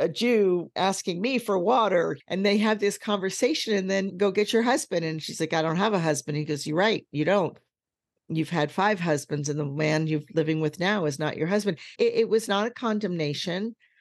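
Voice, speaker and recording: An ordinary speaking voice at a moderate pace with lively intonation, over a quiet background. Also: woman, medium pitch for a woman. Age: 60s. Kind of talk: casual interview chat.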